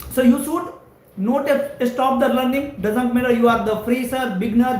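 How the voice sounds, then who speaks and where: Recorded with noticeable background noise and audible room echo, a man speaks at an extremely high pitch. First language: Hindi or another Indian language. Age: 20s. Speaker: network engineering trainer. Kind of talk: live stream career talk.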